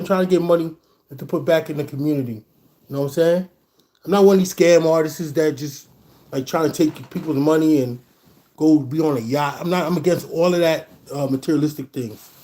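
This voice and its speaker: This man's voice is fairly high in pitch, with a dark, mellow tone. He talks very fast with ordinary pitch variation. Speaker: DJ and podcast host. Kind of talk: livestream monologue. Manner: casual slangy.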